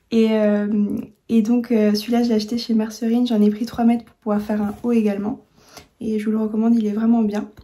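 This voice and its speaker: Monotone, flat intonation marks a woman's fairly high-pitched voice as she speaks at a fairly quick pace with big swings in loudness. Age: 20s. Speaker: sewing youtuber. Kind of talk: tutorial. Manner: hesitant, many fillers and repeats.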